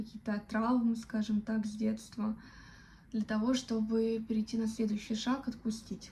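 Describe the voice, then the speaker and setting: Her voice is fairly high for a woman, with a dark, mellow tone, somewhat breathy, and monotone, flat intonation. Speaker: vlogger. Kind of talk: personal reflection monologue. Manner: slow; halting, many fillers.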